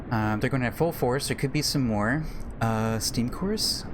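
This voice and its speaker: Noticeable background noise sits behind a man speaking at a fairly quick pace. His pitch swings very widely. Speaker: gaming streamer. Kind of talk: let's play commentary. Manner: halting.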